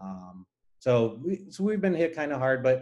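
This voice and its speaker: At a moderate pace, a man talks in a Spanish accent. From Nicaragua. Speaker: aerospace engineer. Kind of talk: interview. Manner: hesitant, many fillers.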